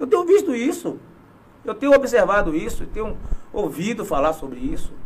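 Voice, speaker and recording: Pitch swings very widely as the words come at a fairly quick pace. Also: man. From southern Bahia, Brazil. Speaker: local politician and former footballer. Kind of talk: casual interview.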